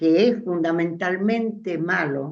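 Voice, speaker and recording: At a very slow pace, a woman speaks with a medium pitch. Room echo can be heard. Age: 80s+. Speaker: discussion participant. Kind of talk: group discussion.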